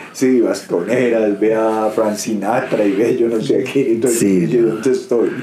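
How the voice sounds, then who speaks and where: Against noticeable background noise and audible room echo, a man talks very slowly at a medium pitch. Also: hardly any pauses, very even loudness. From Colombia, Bogotá. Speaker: retired footballer. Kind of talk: interview. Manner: halting.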